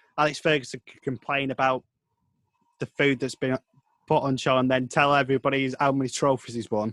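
With a northern English accent, a man speaks fairly quickly in monotone, flat intonation, with a dry, close sound with no echo. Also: medium pitch for a man, big swings in loudness. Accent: regional northern English. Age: 20s. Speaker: sports reporter and commentator. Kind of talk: casual interview. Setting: video call.

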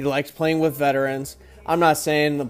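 Music plays in the background as a man speaks at a moderate pace. His intonation stays flat and monotone. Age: 20s. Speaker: podcast host. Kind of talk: casual monologue. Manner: hesitant, many fillers.

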